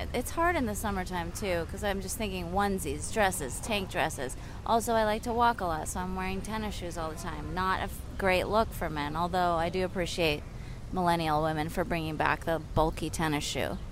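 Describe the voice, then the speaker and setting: Amid audible room echo, a woman with an American accent talks at a fairly quick pace, her fairly low pitch showing ordinary variation. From California. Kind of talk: casual chat. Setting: outdoors, city park.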